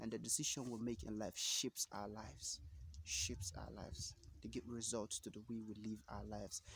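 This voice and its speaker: Vocal fry runs through a man's fairly low voice. He keeps a moderate pace. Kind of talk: motivational talk to camera. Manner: casual, hesitant.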